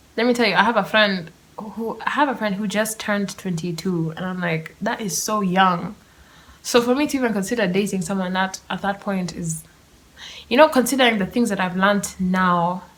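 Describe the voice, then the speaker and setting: At a moderate pace, a woman with a medium pitch speaks in a somewhat breathy voice with ordinary pitch variation. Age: 20s. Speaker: podcast host. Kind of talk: casual chat. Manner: animated.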